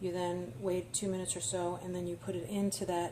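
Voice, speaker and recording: Somewhat breathy and dark and mellow in tone, a woman with an American accent speaks at a fairly low pitch and a moderate pace amid audible room echo. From New York. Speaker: home cooking vlogger. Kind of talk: casual cooking tutorial. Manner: casual with frequent fillers.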